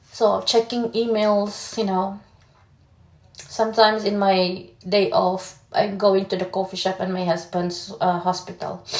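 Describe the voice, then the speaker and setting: This speaker has a Filipino accent and a fairly slow pace. The intonation stays fairly even. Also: woman, medium pitch for a woman. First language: Tagalog. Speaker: vlogger. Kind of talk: personal vlog testimony. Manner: halting.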